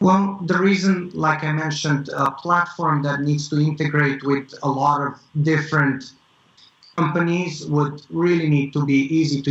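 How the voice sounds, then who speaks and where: Somewhat breathy, a man with a non-native accent speaks at a moderate pace and a fairly high pitch with fairly even intonation. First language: not English. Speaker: tech startup founder. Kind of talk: interview. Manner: halting, many fillers.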